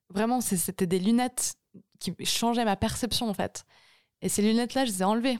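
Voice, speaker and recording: In a very clean recording with a silent background and a dry, close sound with no echo, a woman speaks at a fairly high pitch with fairly even intonation, very even loudness, and long, frequent pauses. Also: moderate pace. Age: 20s. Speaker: singer-songwriter. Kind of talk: casual chat.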